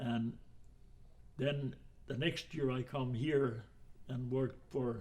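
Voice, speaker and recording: A man speaks at a very slow pace with long, frequent pauses. His voice is somewhat breathy, and his intonation stays fairly even. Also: medium pitch for a man. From Saskatchewan, Canada (Finnish family). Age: 90s. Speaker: retired woodcutter and foreman, immigrant elder. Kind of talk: oral history interview.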